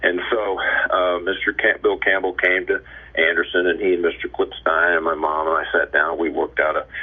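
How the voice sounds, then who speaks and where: Against noticeable background noise, a man with an American accent talks at a fairly quick pace. His loudness stays very even. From Indiana, US Midwest. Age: 70s. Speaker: former baseball player. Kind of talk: interview storytelling. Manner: halting, many fillers.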